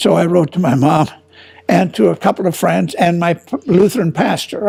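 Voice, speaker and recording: Noticeable background noise sits behind a man with an American accent who speaks at a moderate pace in a high pitch with ordinary pitch variation. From Minnesota, US Midwest. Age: 80s+. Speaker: war veteran. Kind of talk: oral history interview. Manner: halting.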